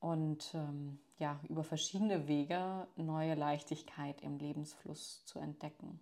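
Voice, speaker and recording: In a very clean recording with a silent background, a woman speaks at a very slow pace with hardly any pauses, her very deep, low voice monotone and flat. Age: 30s. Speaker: yoga teacher. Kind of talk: recorded voice message.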